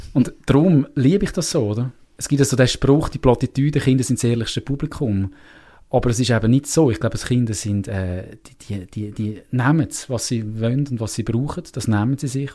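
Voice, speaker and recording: A man's dark, mellow voice with a Uri accent and ordinary pitch variation, on a very clean recording with a silent background. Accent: Uri Swiss German dialect. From Switzerland, canton of Uri. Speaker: theatre maker and musician. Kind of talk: casual interview.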